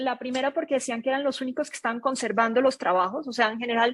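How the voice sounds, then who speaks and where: A woman with a non-native accent speaks at a high pitch with fairly even intonation. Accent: noticeable foreign accent in Mexico. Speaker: data analytics consultant. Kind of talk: webinar presentation.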